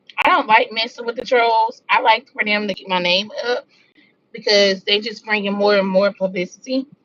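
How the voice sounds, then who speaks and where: In a Southern US accent, a woman speaks at a moderate pace with a fairly high pitch. Her pitch variation is ordinary. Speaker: drama commentary youtuber. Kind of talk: casual live-stream chat.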